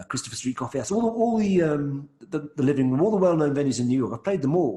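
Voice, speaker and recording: A man with an English accent speaks at a very fast pace in a fairly high, somewhat breathy voice. His pitch swings very widely. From England, London. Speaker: singer-songwriter. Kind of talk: interview.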